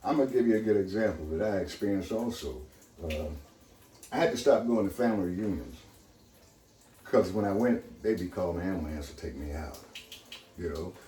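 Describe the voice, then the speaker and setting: A somewhat breathy, fairly low male voice with very wide pitch swings at a fairly quick pace. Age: 70s. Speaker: water purifier user and seller. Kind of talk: casual chat.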